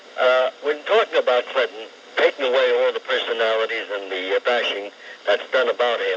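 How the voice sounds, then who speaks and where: Noticeable background noise runs under speech that proceeds at a moderate pace. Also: man. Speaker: caller. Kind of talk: call-in talk radio. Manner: sounds elderly.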